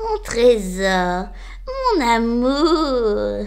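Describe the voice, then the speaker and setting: This is a put-on character voice that sounds female. Its pitch sits fairly high for a woman. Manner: sweet, venomous, cackling.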